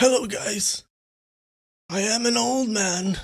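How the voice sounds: A put-on character voice, strained and fairly high in pitch, moves at a fairly slow pace.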